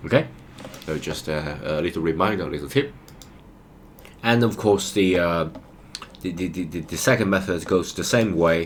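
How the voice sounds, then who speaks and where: A man with a non-native accent speaks at a very deep, low pitch with ordinary pitch variation. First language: not English. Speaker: programming tutor. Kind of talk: tutorial. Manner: hesitant, many fillers.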